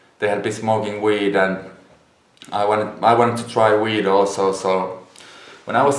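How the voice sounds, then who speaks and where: The speaker has a Finnish accent and a monotone, flat intonation. The pace is moderate. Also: man. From Finland. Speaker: YouTuber, former drug addict. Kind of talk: casual talk to camera.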